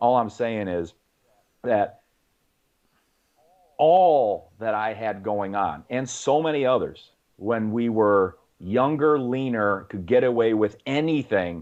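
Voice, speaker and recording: A man with an unremarkable speaking voice, fairly low in pitch, with lively intonation. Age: 50s. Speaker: fitness coach. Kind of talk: podcast interview. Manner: conversational, many fillers.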